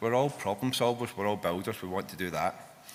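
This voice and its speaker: The man's bright, sharp tone comes through at a moderate pace. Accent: Scottish. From Scotland. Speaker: fintech software engineer and conference speaker. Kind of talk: conference talk. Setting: stage with audience. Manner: animated.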